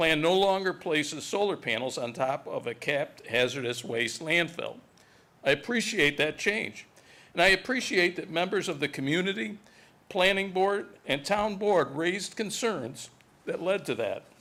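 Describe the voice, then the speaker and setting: Talking at a moderate pace, a man uses a high pitch, a bright, sharp tone and lively intonation. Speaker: resident speaking at public comment. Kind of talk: prepared public comment statement. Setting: town board meeting, public hall. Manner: formal, read from prepared text; occasional self-corrections.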